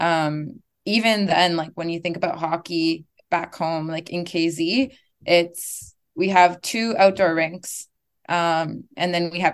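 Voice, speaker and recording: A plain, everyday voice from a woman, fairly low in pitch, at a fairly slow pace with fairly even intonation. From Gatineau, Ottawa region, Canada (Algonquin community). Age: 20s. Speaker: former university soccer player and coach. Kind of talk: casual interview. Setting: video call.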